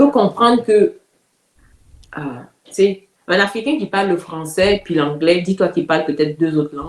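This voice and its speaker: With an Ivorian accent, a woman of medium pitch speaks with lively intonation, big swings in loudness and long, frequent pauses. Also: moderate pace. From Côte d'Ivoire. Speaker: community activist. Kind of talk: interview.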